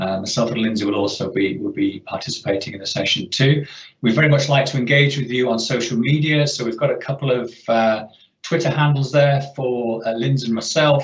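There is audible room echo around a somewhat breathy man. He talks at a fairly quick pace with ordinary pitch variation. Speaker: webinar host. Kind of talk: presentation introduction. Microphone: video call.

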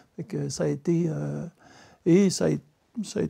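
This man's pitch swings very widely, with a quiet background behind him. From Quebec. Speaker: regional politician, former mayor. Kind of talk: panel discussion. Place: home room.

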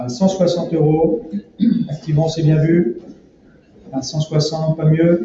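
Here a man talks at a very slow pace with long, frequent pauses and ordinary pitch variation. There is audible room echo and light background noise. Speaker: auctioneer. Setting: auction room with live and online bidders. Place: hall.

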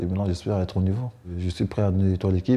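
The voice is somewhat breathy, with a dark, mellow tone and fairly even intonation. It moves at a very fast pace over a quiet background. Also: man. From Cameroon. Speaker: professional basketball player. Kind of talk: interview. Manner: halting. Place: home room.

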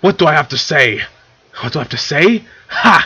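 A man puts on a character voice, pitched fairly high for a man. His tone is bright and sharp, with a husky, rough edge. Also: lively intonation, moderate pace.

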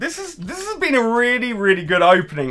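With a British accent and an animated tone, a man talks at a very fast pace over light background noise. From UK. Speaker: pokemon card youtuber. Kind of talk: card pack opening video. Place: home room.

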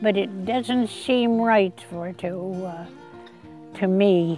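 A woman at medium pitch and a very slow pace, with a Canadian Maritime accent, dry sound with no echo and faint music in the background. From New Brunswick, Canada. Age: 80s+. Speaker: land donor interviewee. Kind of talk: interview answer. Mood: earnest, heartfelt. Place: garden. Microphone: lapel.

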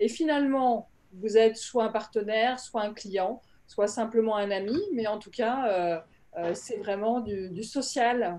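Her pitch fairly high and her tone dark and mellow, a woman speaks at a fairly slow pace. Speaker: panelist. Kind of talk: panel discussion. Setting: video call. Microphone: video call.

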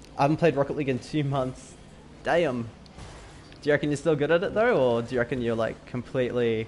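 A man with an Australian accent, medium in pitch with ordinary variation, at a very fast pace broken by long, frequent pauses. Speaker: gaming streamer. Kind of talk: live gameplay stream chat. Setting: online voice chat during live stream. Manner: chatty, laughs often.

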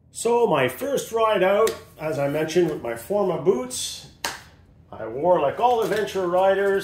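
A man is talking over light background noise. The room echo is audible. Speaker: motorcycle rider reviewing his gear. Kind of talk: casual gear review.

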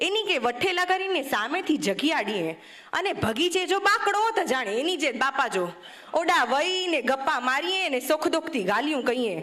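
Over noticeable background noise, a woman projects a raised, high-pitched voice with very wide pitch swings and very even loudness. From Kutch, Gujarat (Bhujpur village). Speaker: speaker. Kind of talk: speech.

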